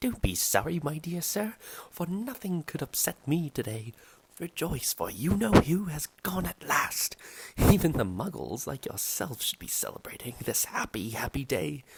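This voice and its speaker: Doing a squeaky put-on character voice, a man talks at a moderate pace, pitched fairly high with very wide pitch swings. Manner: delighted, gleeful.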